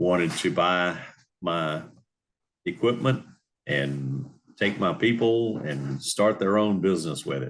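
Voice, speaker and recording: Speaking with a Louisiana accent, a man with a very deep, low pitch talks at a fairly slow pace with lively intonation and long, frequent pauses. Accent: Louisiana Southern US. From New Orleans area, Louisiana. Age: 70s. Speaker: retired marine business owner. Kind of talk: interview. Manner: halting, many fillers.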